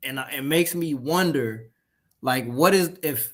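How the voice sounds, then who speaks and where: A man at a moderate pace and fairly high pitch, lively in intonation, in a normal speaking voice. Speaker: gaming show co-host. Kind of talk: casual chat.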